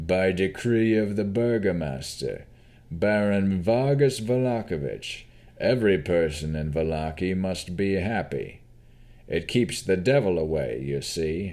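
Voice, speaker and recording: A man puts on a gruff, menacing character voice with a very deep, low pitch. He speaks at a fairly slow pace with lively intonation. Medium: read story.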